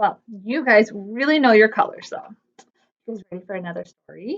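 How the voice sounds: At a moderate pace, a woman speaks with medium pitch, a fairly bright tone and lively intonation.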